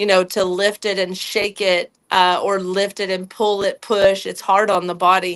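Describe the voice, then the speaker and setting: Speaking in a Texan accent at a medium pitch, a woman keeps a flat monotone and a moderate pace with hardly any pauses, on a very clean recording with a silent background. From Texas, near Galveston. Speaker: animal and human chiropractor. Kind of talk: interview.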